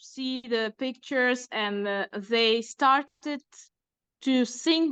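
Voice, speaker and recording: A woman against a quiet background. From Uzbekistan. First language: Uzbek. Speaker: illustrator and author. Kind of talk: interview. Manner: halting, many fillers.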